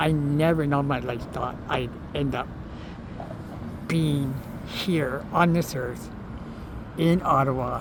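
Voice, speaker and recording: Over noticeable background noise and audible room echo, a man with a Canadian accent speaks very slowly and fairly high, with fairly even intonation and long, frequent pauses. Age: 60s. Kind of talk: personal testimony. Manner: halting, with false starts.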